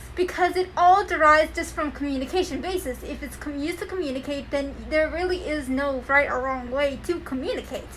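This woman's high-pitched voice shows ordinary pitch variation, with noticeable background noise behind it. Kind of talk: casual conversation.

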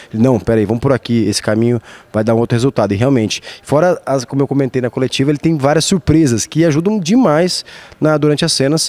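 A man's fairly high-pitched, very fast voice with lively intonation and very even loudness, dry and close with no echo. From Brazil, Campo Grande, Mato Grosso do Sul. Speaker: actor and musician. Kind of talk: interview.

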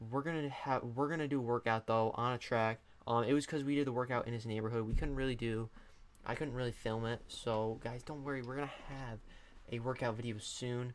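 Light background noise is present as a man speaks. He goes at a fairly quick pace with fairly even intonation. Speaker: youtuber. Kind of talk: casual vlog chat. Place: home room. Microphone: studio mic.

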